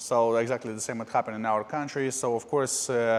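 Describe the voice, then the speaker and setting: In a Russian accent, a man speaks at a moderate pace and medium pitch with monotone, flat intonation. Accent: Russian-sounding. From Moldova. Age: 30s. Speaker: podcast host. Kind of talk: personal life story monologue. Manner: hesitant, many filler uhs.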